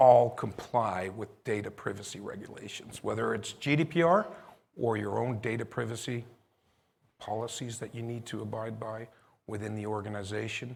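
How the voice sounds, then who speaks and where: A man at a medium pitch with vocal fry, fairly even intonation and a moderate pace. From Netherlands. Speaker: company CEO. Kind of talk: conference presentation. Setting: stage with live audience and stream.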